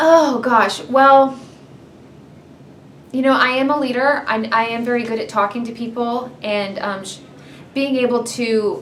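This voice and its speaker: A loud woman with an American accent and a high pitch speaks at a fairly slow pace with ordinary pitch variation and long, frequent pauses, amid noticeable background noise and audible room echo. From US South, Georgia (Marietta). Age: 30s. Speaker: reality TV contestant. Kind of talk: interview. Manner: loud, excitable.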